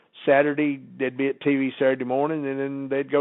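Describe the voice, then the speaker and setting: Very fast speech from a man with a Southern US accent, fairly high in pitch. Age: 70s. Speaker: former wrestling personality, podcast guest. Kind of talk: casual interview chat. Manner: halting, repetitive starts.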